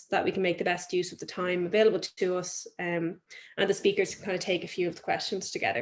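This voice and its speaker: This voice carries an Irish accent. The intonation stays fairly even. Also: woman. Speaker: webinar host. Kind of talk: webinar introduction. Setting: video call webinar.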